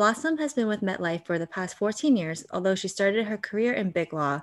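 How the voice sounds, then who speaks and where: On a very clean recording with a silent background, a woman with an unremarkable speaking voice talks at a fairly quick pace with lively intonation. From New Jersey. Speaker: podcast host. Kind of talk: interview; scripted introduction.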